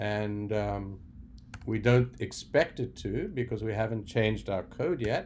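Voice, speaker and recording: In a South African accent, a man talks at a fairly slow pace with a fairly low pitch and vocal fry over light background noise. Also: ordinary pitch variation. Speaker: software developer. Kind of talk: tutorial. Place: home room. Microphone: webcam.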